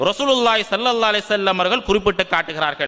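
High pitch and ordinary pitch variation in a man's voice. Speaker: Islamic scholar giving a sermon. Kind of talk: religious sermon (bayan). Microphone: handheld.

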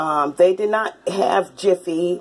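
The intonation is fairly even. It comes with an American accent. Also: woman. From Alabama, US South. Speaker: cooking video host. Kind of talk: cooking tutorial. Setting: home kitchen. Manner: casual, conversational. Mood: opinionated, relaxed. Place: kitchen. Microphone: phone near.

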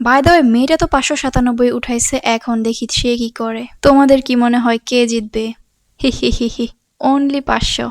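The delivery has a playful tone and fairly even intonation, with a dry, close sound and no echo. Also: woman, high pitch for a woman. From Bangladesh. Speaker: vlogger. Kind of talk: vlog voice-over. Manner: stuttering in this voice-over; playful, giggling.

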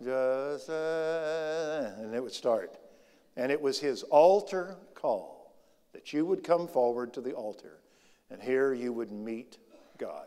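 This man speaks at a very slow pace with ordinary pitch variation. His loudness swings widely. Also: quiet background. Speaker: preacher. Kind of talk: sermon. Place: church. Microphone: lapel.

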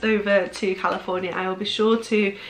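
Faint music sits in the background as a woman speaks at a moderate pace. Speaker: haul vlogger. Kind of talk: casual vlog chat. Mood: cheerful, enthusiastic. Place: home room.

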